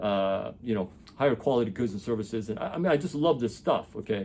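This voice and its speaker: The man speaks at a fairly quick pace. His tone is dark and mellow. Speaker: educator and former engineer. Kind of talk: casual explainer monologue. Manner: fast; animated.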